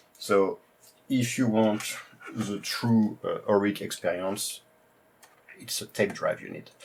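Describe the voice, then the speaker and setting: With a strong French accent, a man speaks very slowly at a fairly low pitch. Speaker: retro computer YouTuber. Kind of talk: tutorial presentation. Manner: hesitant, many fillers.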